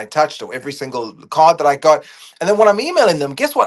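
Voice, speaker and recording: A man speaks loudly at a very fast pace. His pitch swings very widely. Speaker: public speaker. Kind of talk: casual talk.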